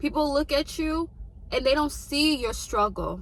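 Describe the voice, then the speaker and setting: A woman's raised, projected voice, high in pitch and animated in tone, at a moderate pace over noticeable background noise. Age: 20s. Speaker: lifestyle vlogger. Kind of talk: motivational talk.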